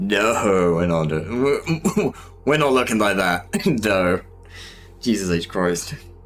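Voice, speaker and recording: In a Southern British accent, a man speaks at a fairly low pitch and a very slow pace. His intonation is lively, with music in the background. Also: very even loudness. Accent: Southern British, mistaken for posh. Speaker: streamer, miniature painter. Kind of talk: casual live-stream chat. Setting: live stream while painting.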